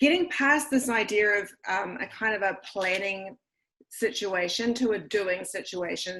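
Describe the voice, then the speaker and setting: The voice has a New Zealand accent and a bright, sharp tone. Pitch varies in an ordinary way. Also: woman. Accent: New Zealand, retained. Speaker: school administrator and educator. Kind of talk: online presentation.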